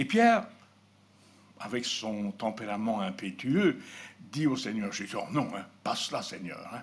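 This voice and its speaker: A man speaks at a fairly slow pace, with long, frequent pauses and big swings in loudness. His pitch varies in an ordinary way, and the room echo is audible. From Belgium, Borinage (Hainaut). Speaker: preacher. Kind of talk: sermon.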